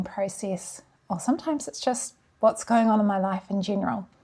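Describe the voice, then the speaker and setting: A woman with a New Zealand accent and a dark, mellow, somewhat breathy tone speaks at a medium pitch and moderate pace on a very clean recording with a silent background. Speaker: language learning vlogger. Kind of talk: vlog talk to camera. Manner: casual.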